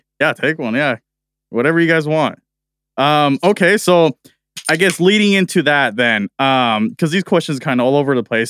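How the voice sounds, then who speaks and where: Fairly high-pitched male voice with lively intonation at a moderate pace, dry and close with no echo, in a very clean recording over a silent background. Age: 20s. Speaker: podcast host, gamer. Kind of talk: casual interview. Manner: animated.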